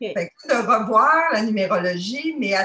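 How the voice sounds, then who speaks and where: A woman's bright, sharp voice swings very widely in pitch. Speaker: dating site member. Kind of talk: testimony. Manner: halting.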